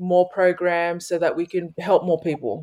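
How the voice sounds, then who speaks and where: A woman with an Australian accent speaks at a moderate pace in a fairly low pitch. Her tone is dark and mellow, on a very clean recording with a silent background. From Sydney, Australia. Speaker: basketball community program founder. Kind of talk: interview chat.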